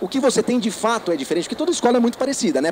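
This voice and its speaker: Noticeable background noise accompanies the recording. Over it, a man talks with lively intonation. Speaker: education consultant, company founder. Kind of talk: lecture. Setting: trade fair stand with audience. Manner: fast; animated.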